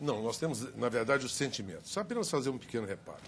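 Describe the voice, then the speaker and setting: Somewhat breathy and very fast, a man talks at a medium pitch with lively intonation. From Minas Gerais, Brazil. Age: 60s. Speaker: politician. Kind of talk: televised debate.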